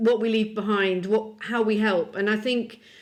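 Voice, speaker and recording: A woman with a British accent speaks in a fairly high pitch. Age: 60s. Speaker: publisher. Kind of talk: podcast interview. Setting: video call.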